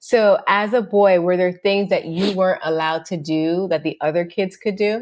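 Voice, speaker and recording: With an American accent, a woman talks at a moderate pace in a medium pitch, leaving hardly any pauses. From Florida, US (Jamaican family). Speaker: podcast co-host. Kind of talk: casual chat. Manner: animated.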